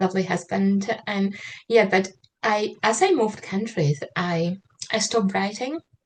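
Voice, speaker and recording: A woman's somewhat breathy voice at medium pitch moves at a moderate pace with ordinary pitch variation. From Slovakia. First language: Slovak. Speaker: trauma-informed writer and mentor. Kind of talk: online interview. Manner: hesitant, many fillers.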